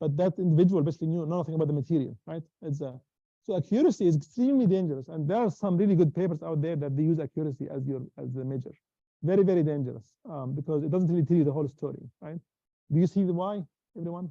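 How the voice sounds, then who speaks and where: The tone is dark and mellow, with ordinary pitch variation at a very fast pace. The sound is dry and close, with no echo. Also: man, fairly high pitch for a man. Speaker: university lecturer. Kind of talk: lecture. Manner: halting.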